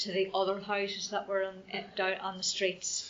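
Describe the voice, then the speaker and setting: In a Northern Irish accent, a woman speaks at a medium pitch. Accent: Northern Irish (Fermanagh). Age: 60s. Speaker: local resident sharing memories. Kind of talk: oral history interview. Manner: hesitant, conversational.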